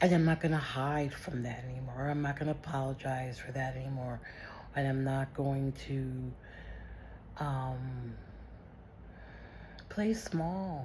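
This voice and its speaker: A woman's voice with audible room echo and long, frequent pauses. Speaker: vlogger. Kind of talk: personal video diary. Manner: loud; animated.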